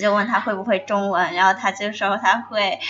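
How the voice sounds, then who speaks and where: The pace holds moderate. This is an ordinary speaking voice. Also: woman. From China. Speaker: student. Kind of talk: casual chat. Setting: cafe.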